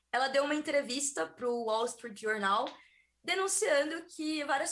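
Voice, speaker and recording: A woman's high voice carries her words at a moderate speed. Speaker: technology scientist. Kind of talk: explainer segment.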